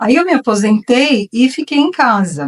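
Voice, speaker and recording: A woman's fairly high voice swings very widely in pitch, recorded dry and close with no echo. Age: 60s. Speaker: retired artisan. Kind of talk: talk. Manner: informal.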